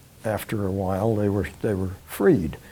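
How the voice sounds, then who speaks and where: A man speaks at a moderate pace with an American accent, and noticeable background noise runs behind him. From New York City. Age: 80s+. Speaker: war veteran. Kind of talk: testimony. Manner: halting.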